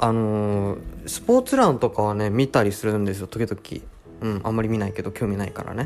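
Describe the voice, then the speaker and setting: A man's fairly low voice moves at a moderate pace. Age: 20s. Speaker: podcast host. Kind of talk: casual chat. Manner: relaxed; hesitant.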